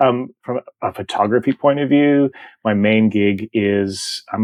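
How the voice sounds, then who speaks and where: With an American accent, the speaker keeps a fairly even intonation. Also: man. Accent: American-sounding. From Canada. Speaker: photographer. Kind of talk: interview. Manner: casual, many fillers.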